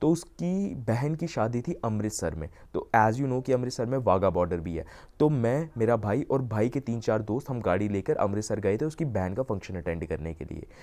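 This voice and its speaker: The voice has a dark, mellow tone and lively intonation, with hardly any pauses. The recording is very clean, with a silent background. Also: man, medium pitch for a man. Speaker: YouTuber, self-improvement coach. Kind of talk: casual vlog talk, mixing Hindi and English. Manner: usually speaks fast.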